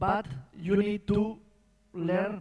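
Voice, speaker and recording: Speaking with a non-native accent, a man keeps his intonation fairly even. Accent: foreign accent in English. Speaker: pig industry expert. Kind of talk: goodwill speech. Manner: halting.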